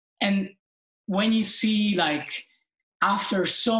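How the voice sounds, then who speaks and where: A woman speaks with an Italian accent. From Italy. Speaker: professional sailor, Olympian. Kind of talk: interview. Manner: hesitant, with many fillers.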